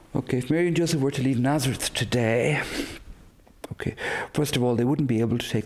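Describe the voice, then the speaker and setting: He talks at a very fast pace. The man has an Irish accent. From west of Ireland. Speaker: priest. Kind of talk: interview. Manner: halting, with fillers.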